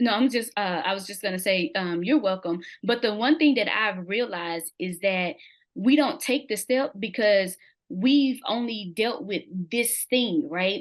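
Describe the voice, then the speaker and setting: A woman with an American accent speaks at a fairly slow pace. Her voice is fairly high. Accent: country dialect. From US South, Mississippi. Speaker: interview guest sharing testimony. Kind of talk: testimony in interview. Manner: can be loud.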